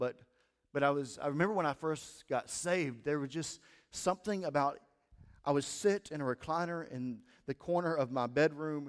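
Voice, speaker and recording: A man with an American accent speaks at a moderate pace in an unremarkable speaking voice, his fairly high pitch showing ordinary variation. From US Midwest (southeast Missouri Bootheel). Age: 20s. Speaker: pastor. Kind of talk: sermon. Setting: church.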